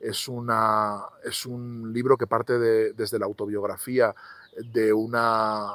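A man is speaking. The sound is dry with no echo, and the background is quiet. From Spain, Zaragoza; Spain. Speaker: novelist; interviewee. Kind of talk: interview monologue about his books. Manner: halting, many repetitions and fillers. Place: garden. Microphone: lapel.

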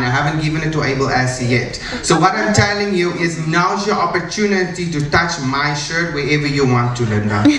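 Light background noise and audible room echo surround this recording. A man speaks at a moderate pace. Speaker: presenter. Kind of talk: stage sales demonstration. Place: stage.

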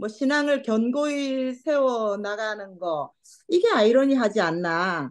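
Very slow speech with very wide pitch swings over a quiet background. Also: woman. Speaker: study group participant. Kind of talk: casual discussion. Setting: video call. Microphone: video call.

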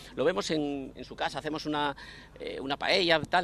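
The voice has a bright, sharp tone. The sound is dry, with no echo. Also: man. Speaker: fan group member; interview guest. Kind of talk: interview. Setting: outdoors. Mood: relaxed, anecdotal storytelling. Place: street. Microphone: handheld.

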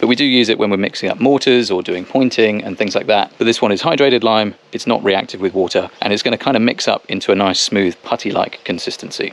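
With hardly any pauses, a man talks at a very fast pace in a fairly low pitch, the sound dry with no echo. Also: ordinary pitch variation. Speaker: home renovator vlogger. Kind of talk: tutorial. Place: garden. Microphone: phone near.

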